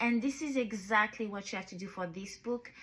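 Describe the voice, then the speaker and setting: A woman with a medium pitch and a somewhat breathy voice talks at a moderate pace with ordinary pitch variation. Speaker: book reviewer, YouTuber. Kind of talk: book review monologue. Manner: repetitive, some halting restarts.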